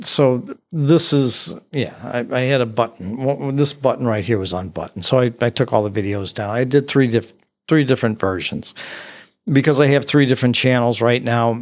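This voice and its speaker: Medium in pitch, a man speaks at a moderate pace with fairly even intonation. The background stays quiet. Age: 60s. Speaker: amateur photography YouTuber. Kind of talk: casual vlog talk. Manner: halting, many fillers and repeats.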